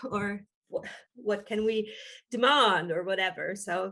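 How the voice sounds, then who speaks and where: A woman with an Estonian accent speaks with ordinary pitch variation. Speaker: physician and hospital quality manager. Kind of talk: webinar presentation. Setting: online webinar. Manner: halting, many fillers.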